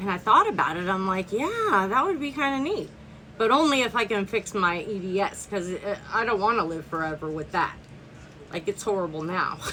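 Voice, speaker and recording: Against noticeable background noise, a woman of medium pitch speaks at a moderate pace with lively intonation. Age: 50s. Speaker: vlogger on health and longevity. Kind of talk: casual personal vlog introduction. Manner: casual, hesitant with fillers.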